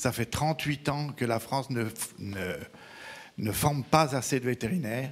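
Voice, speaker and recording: Speaking at a fairly slow pace with ordinary pitch variation, this voice breaks often into long pauses. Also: man, medium pitch for a man. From Belgium. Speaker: veterinarian, regional council member. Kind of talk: audience remark at round table.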